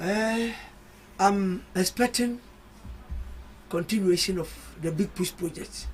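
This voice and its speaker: With music in the background, a man speaks at a very slow pace and high pitch, his fairly even intonation broken by long, frequent pauses. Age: 70s. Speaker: political party communicator and football journalist. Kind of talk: radio panel discussion.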